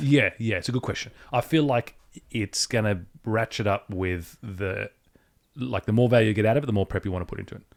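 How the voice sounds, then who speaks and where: A man with an ordinary speaking voice talks at a fairly quick pace and a medium pitch with ordinary pitch variation. The sound is dry and close with no echo, on a very clean recording with a silent background. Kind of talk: casual podcast conversation.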